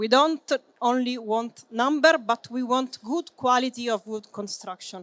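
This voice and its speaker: Someone with an Italian accent speaks at a fairly slow pace. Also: woman, high pitch for a woman, ordinary pitch variation, dry, close sound with no echo. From Italy. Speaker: business development manager and building engineer. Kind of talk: conference presentation. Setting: trade fair seminar with audience. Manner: hesitant, many fillers.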